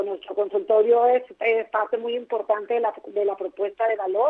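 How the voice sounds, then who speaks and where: An ordinary speaking voice, a woman's, runs at a moderate pace with hardly any pauses, fairly high in pitch with ordinary variation. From Mexico, Tijuana (Baja California). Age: 50s. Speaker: marketing director. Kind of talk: phone interview. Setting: phone call.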